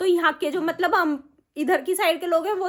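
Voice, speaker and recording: A woman speaks at a moderate pace. Her pitch is extremely high. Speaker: family vlogger. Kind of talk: casual chat. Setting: at home.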